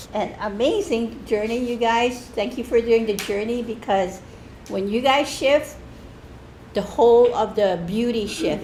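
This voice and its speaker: There is audible room echo. A woman speaks at a fairly slow pace. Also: fairly high pitch for a woman, ordinary pitch variation. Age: 70s. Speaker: church member. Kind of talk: testimony. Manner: halting, with many restarts.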